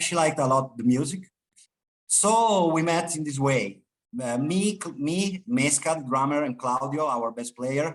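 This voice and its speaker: The speaker has an Italian accent, a moderate pace and ordinary pitch variation. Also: man, fairly high pitch for a man. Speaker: rock band guitarist. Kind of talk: interview. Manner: halting, many fillers and repetitions.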